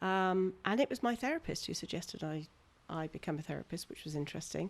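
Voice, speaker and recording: A woman with a plain, everyday voice, lively intonation and a fairly quick pace. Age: 60s. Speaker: therapist. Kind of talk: casual chat.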